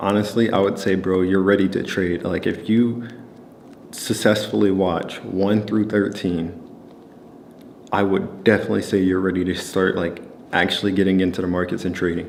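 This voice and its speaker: A calm-toned man at a moderate pace, very deep and low in pitch, monotone and flat in intonation, with audible room echo. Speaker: trading educator. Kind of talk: casual talking segment. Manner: calm, low-key; casual, many fillers.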